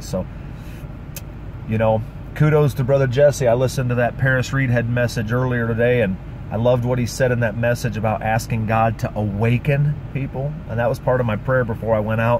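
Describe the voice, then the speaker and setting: Against noticeable background noise, a man with a medium pitch speaks at a fairly quick pace with fairly even intonation. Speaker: street preacher. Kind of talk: testimony.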